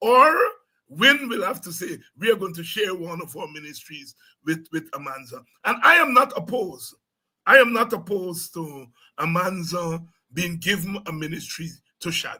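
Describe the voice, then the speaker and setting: A man's high-pitched voice has a bright, sharp tone and big swings in loudness. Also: lively intonation, moderate pace. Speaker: politician. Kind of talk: interview. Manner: halting.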